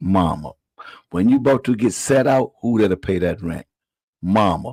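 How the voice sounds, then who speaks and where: Fairly low in pitch, a man talks at a moderate pace in an animated tone with lively intonation, his sound dry and close with no echo on a very clean recording with a silent background. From rural US South, moved to Washington DC at 13. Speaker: comedian. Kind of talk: casual chat. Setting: live podcast.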